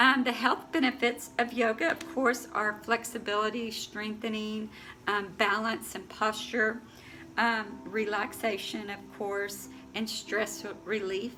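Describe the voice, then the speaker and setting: A woman with a fairly high voice talks at a fairly slow pace and fairly even intonation while music plays in the background. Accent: American. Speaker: yoga instructor. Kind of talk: tutorial. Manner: halting, many fillers.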